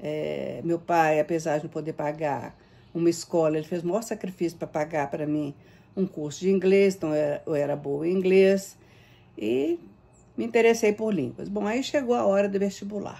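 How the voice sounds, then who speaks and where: A woman talks at a moderate pace in a fairly low pitch. Her tone is dark and mellow. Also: lively intonation. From Brazil, Minas Gerais (Belo Horizonte). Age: 70s. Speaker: retired university professor. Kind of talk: recorded Q&A monologue. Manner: halting, many fillers.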